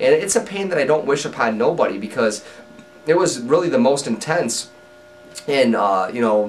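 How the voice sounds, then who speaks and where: With music in the background, a man of medium pitch speaks at a moderate pace with very wide pitch swings. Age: 30s. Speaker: person living with Crohn's disease. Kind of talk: personal story to camera. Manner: casual, conversational with fillers.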